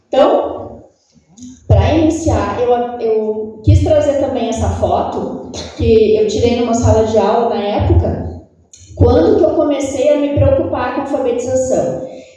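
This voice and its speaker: A woman with a southern Brazilian accent talks at a fairly slow pace, with audible room echo. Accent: Porto Alegre (gaúcho). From southern Brazil, Porto Alegre. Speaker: speech therapist and lecturer. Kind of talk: lecture.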